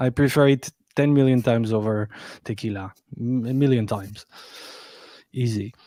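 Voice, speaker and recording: A man with a French accent, medium pitch and a dark, mellow tone, fairly even intonation, moderate pace with long, frequent pauses, in a dry, close, echo-free, very clean recording with a silent background. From France, Paris. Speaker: music producer. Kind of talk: casual chat.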